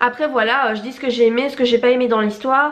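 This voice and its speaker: A woman talks in a high pitch with monotone, flat intonation. Noticeable background noise sits behind her. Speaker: novelist and YouTuber. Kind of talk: casual vlog chat. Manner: hesitant, many fillers.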